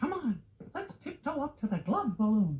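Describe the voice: Putting on a cartoonish character voice, a man speaks at an extremely high pitch with big swings and a husky, rough edge, keeping a moderate pace.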